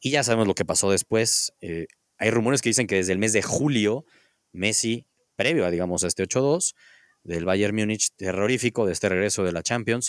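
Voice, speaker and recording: In a very clean recording with a silent background, a man with a Mexican accent speaks at a fairly low pitch, the sound dry and close with no echo. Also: ordinary pitch variation, moderate pace. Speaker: sports podcast host. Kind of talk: casual chat.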